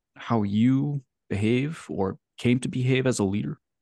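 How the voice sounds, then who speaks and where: Against a quiet background, a man with an ordinary speaking voice and medium pitch talks with lively intonation, the sound dry and close with no echo. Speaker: podcast host. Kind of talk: interview conversation.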